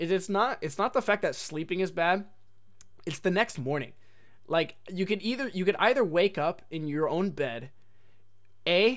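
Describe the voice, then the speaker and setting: A man with a high-pitched voice and an American accent speaks at a moderate pace. His intonation is lively, broken by long, frequent pauses. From Oregon, US. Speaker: podcast host. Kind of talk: casual chat. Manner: animated.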